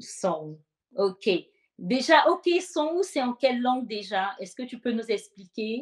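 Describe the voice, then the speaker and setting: Her pitch is high with very wide swings as a woman speaks at a very slow pace, her loudness shifting in big swings. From Côte d'Ivoire, Soubré area. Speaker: worship show host. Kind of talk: interview.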